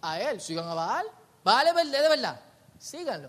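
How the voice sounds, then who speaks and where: A man projects a raised voice at an extremely high pitch, bright and sharp in tone, with very wide pitch swings. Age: 30s. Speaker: pastor. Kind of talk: sermon.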